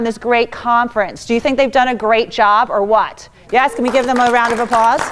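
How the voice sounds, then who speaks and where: The voice comes in a New York accent. It is loud. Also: woman. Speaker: motivational speaker. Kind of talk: conference talk. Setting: stage with audience. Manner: fast.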